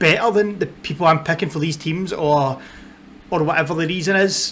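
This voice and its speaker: A man with a strong Scottish accent speaks at a fairly high pitch, his pitch rising and falling in an ordinary way. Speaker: football content creator. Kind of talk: casual vlog talk to camera. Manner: hesitant, many fillers.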